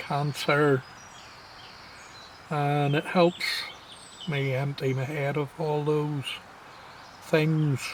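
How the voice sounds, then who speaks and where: In a Scottish accent, a man with a fairly high pitch and a relaxed tone talks very slowly in a flat monotone, pausing long and often. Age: 60s. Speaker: wildlife vlogger. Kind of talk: casual vlog monologue. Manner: reflective, relaxed.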